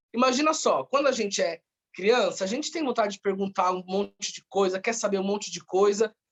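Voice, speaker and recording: This is a man with a high pitch. He speaks at a fairly quick pace. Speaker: researcher presenting an article. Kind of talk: research presentation. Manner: fast.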